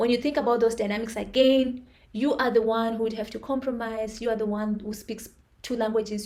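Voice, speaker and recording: A woman with an African accent and a high pitch. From Zimbabwe. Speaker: vlogger. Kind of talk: personal monologue. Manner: halting.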